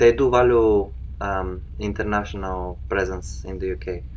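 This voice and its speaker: The man's pitch swings very widely. Room echo is audible. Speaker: international student. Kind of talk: interview.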